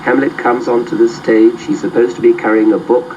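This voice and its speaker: A man speaks over noticeable background noise. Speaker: literature professor. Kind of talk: interview. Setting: studio.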